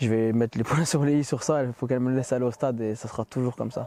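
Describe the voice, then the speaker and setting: Noticeable background noise runs under this recording. A man speaks at a fairly quick pace with fairly even intonation. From Ardennes, northeastern France. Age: 30s. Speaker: football ultra supporter. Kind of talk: interview.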